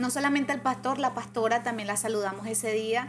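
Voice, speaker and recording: Her high voice holding a fairly even intonation, a woman speaks. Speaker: churchgoer sharing testimony. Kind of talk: testimony.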